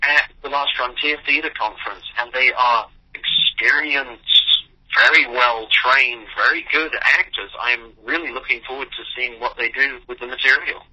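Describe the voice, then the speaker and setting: Someone with an English accent speaks over noticeable background noise. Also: man. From New York. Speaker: playwright. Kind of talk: interview. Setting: phone call.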